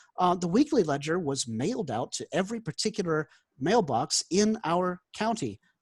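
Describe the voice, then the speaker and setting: Delivered at a moderate pace in a Carolina accent with very wide pitch swings, the voice sounds dry and close with no echo over a very clean, silent background. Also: man, high pitch for a man. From South Carolina. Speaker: job applicant, former newspaper reporter. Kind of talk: job interview.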